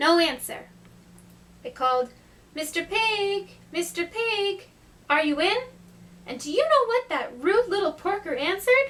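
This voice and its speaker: This cartoonish character voice sits at an extremely high pitch and breaks off for long, frequent pauses. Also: moderate pace. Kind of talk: read story. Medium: puppet.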